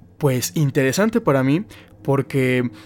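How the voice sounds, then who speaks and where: A man with a Mexican accent. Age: 20s. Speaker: podcast host. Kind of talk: casual chat.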